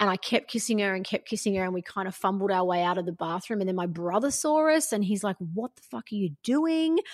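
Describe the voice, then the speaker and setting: A woman with an Australian accent at a medium pitch, talking at a very fast pace with hardly any pauses and very wide pitch swings, in a dry, close sound with no echo on a very clean recording with a silent background. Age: 40s. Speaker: life coach. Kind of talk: casual interview chat.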